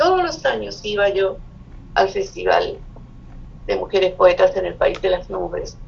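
A woman speaks at a fairly slow pace. Noticeable background noise runs under her voice. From Chile. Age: 70s. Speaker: poet and writer. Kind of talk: interview.

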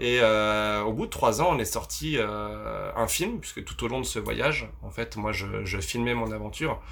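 The speech moves at a fairly slow pace with hardly any pauses. Audible room echo surrounds it. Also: man. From France, Vosges. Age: 30s. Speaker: adventurer and filmmaker. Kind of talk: interview conversation. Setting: on a sailboat. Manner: hesitant, many fillers.

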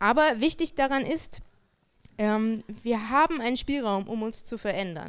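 Her pitch is fairly high and swings very widely as this woman speaks at a fairly slow pace. The recording is very clean, with a silent background. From Germany. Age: 30s. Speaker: theologian and lecturer. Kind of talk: lecture.

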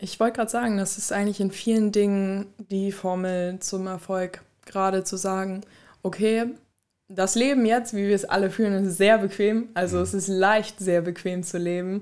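Her pitch medium and her intonation monotone and flat, a woman talks at a moderate pace. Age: 20s. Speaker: student and former gym intern. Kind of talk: casual interview.

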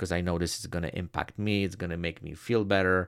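A man with a non-native accent speaks in a very deep, low voice with ordinary pitch variation. The recording is very clean, with a silent background. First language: not English. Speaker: headshot photographer. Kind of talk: solo podcast monologue.

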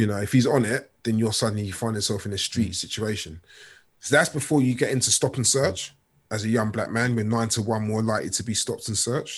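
In a very clean recording with a silent background, a man with a London accent talks at a very fast pace, at medium pitch and with fairly even intonation. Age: 40s. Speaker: author and youth worker. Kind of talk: interview.

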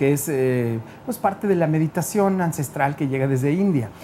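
Speaking in a Guadalajara accent, a man sounds animated, with lively intonation. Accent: Mexican Spanish (Guadalajara). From Guadalajara, Jalisco, Mexico. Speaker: radio host and DJ. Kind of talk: casual interview.

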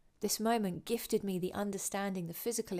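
A woman with a southern English accent speaks in a calm tone at medium pitch and a fairly quick pace, with fairly even intonation on a very clean recording with a silent background. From southern England (Winchester). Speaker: podcast host, yoga teacher. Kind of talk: personal storytelling monologue. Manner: calm, reflective.

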